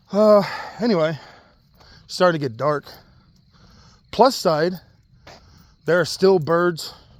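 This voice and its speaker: The pace is very slow, with long, frequent pauses. Pitch varies in an ordinary way. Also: man, high pitch for a man. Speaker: vlogger. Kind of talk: personal vlog rant. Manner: casual, halting with fillers.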